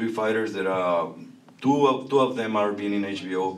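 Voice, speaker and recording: A man with a Spanish accent talks at a moderate pace in a fairly low pitch, with ordinary pitch variation. Noticeable background noise and audible room echo fill the recording. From Mexico. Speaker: boxing promoter. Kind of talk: press conference. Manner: halting.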